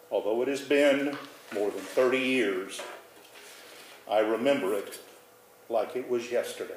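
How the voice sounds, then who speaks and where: Medium-pitched man's voice, fairly slow with long, frequent pauses and ordinary pitch variation, over noticeable background noise. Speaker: storyteller. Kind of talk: personal storytelling performance.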